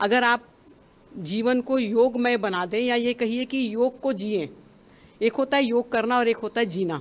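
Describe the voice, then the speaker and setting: A woman talks at a fairly high pitch. Her pitch variation is ordinary. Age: 60s. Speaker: yoga practitioner, retired bank employee. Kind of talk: interview testimony. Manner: hesitant with fillers.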